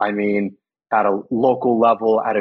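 With a Californian accent, a man talks at a fairly slow pace in a medium-pitched voice with monotone, flat intonation. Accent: Californian American. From US West Coast, California Central Valley (Los Banos). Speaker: public health insurance worker. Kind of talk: casual interview.

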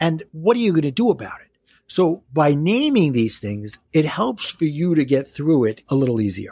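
In a Brooklyn accent, a man speaks at a fairly high pitch with very wide pitch swings. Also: moderate pace. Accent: Brooklyn New York. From New York City (Brooklyn). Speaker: life coach and author. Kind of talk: casual interview, coaching advice. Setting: podcast audio only.

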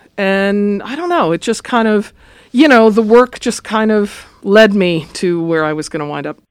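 A woman with a normal speaking voice, medium pitch, lively intonation and an American accent, at a moderate pace in a very clean recording with a silent background. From Los Angeles, California. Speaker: music professor and choir conductor. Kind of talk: interview.

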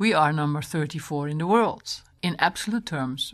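Against a quiet background, a woman with a Dutch accent speaks at a moderate pace in a very deep, low pitch with lively intonation. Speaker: environmental organization director. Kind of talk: interview.

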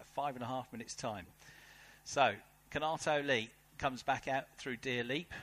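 The speaker has a British accent. The tone is animated. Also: man. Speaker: race commentator. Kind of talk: live race commentary. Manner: animated, fast-paced.

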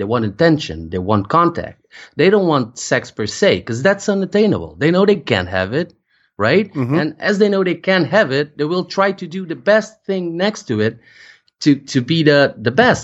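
A man speaks at a moderate pace with a Portuguese accent. His pitch is fairly high and swings very widely. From Portugal. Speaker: findom practitioner. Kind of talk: interview. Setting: remote call. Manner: halting.

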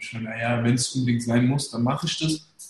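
Somewhat breathy male speech, delivered fairly quickly. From Germany, Hesse (Darmstadt area, Turkish family). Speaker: managing director, entrepreneur. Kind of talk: casual interview, storytelling. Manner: colloquial, filler-heavy.

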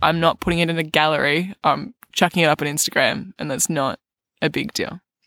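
Recorded dry and close with no echo, a woman with an Australian accent speaks at a fairly quick pace, her fairly low voice bright and sharp in tone with ordinary pitch variation. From Australia, Melbourne. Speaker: recurring podcast guest, host's partner. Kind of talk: casual chat. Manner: soft-spoken.

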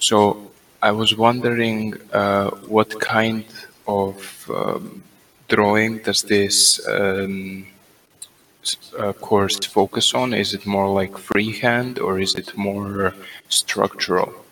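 Over noticeable background noise, a man speaks very slowly at a fairly low pitch. His intonation is monotone and flat, with long, frequent pauses. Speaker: voice-lounge questioner. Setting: online voice chat.

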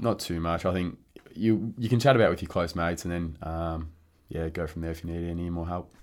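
A man's very deep, low pitch with fairly even intonation. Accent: rural Victorian. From rural Victoria, Australia (Warrnambool area). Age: 20s. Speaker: professional Australian football player. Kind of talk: casual interview chat.

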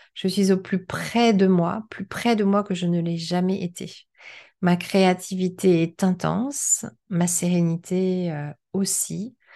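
A dark, mellow tone at a very slow pace, with fairly even intonation over a quiet background. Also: woman, medium pitch for a woman. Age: 50s. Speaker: podcast host. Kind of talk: solo podcast with read-out excerpts.

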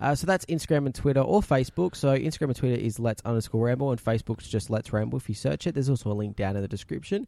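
Hardly pausing, the speaker rushes at a very fast pace in a strong Australian accent, with lively intonation and a dark, mellow tone. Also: man, medium pitch for a man. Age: 20s. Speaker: podcast co-host. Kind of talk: casual chat.

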